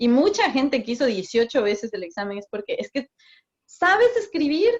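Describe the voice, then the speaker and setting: A high-pitched woman's voice moves through very wide pitch swings. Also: moderate pace. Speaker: migration consultant. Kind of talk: interview. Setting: video call.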